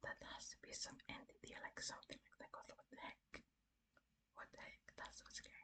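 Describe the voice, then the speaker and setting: Whispering at a moderate pace. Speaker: ASMR creator. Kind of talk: casual commentary to the listener between story passages. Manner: soft, whispering, relaxing.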